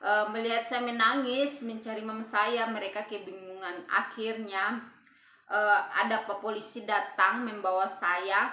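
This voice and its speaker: A woman in a Papuan accent speaks at a fairly high pitch and fairly slow pace, her intonation monotone and flat. Room echo is audible. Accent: Papuan Indonesian dialect. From Papua, Indonesia. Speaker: vlogger. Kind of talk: personal storytelling vlog. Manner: casual, with frequent hesitations.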